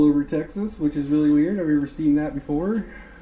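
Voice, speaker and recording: A man with an Indiana accent speaks at a fairly high pitch. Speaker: travel vlogger. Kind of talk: casual travel vlog. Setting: outdoors then inside a museum. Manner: hesitant, many filler words.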